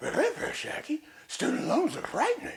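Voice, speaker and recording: An extremely high pitch marks this put-on character voice. The tempo stays moderate. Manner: cartoonish, worried.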